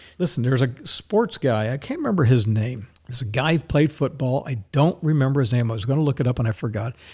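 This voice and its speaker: The voice races at a very fast pace, somewhat breathy, with a dark, mellow tone. The recording is very clean, with a silent background. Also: man. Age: old. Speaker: financial advisor and podcast host. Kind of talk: opinionated monologue.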